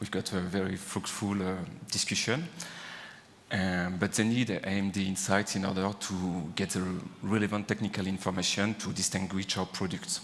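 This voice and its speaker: A man with a French accent, very deep and low in pitch, with monotone, flat intonation at a moderate pace over noticeable background noise. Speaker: engineer. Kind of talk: conference talk. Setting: stage with audience. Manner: hesitant, many fillers.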